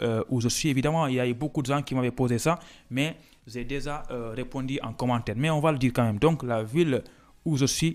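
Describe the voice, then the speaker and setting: A man's medium-pitched voice with a Senegalese accent, ordinary pitch variation and a fairly quick pace, in a very clean recording with a silent background. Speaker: student vlogger. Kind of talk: casual vlog talk. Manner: halting, many hesitations.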